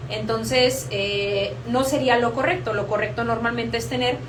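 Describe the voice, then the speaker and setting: Noticeable background noise and audible room echo around a woman's moderately paced speech. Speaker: horticulture educator. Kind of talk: live stream tutorial. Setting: live stream.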